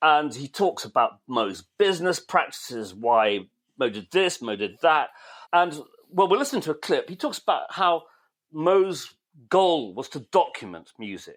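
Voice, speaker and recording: Speaking fairly slowly, a man with a fairly high pitch and vocal fry shows very wide pitch swings and big swings in loudness. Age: 60s. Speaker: podcast co-host, music writer. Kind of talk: casual chat.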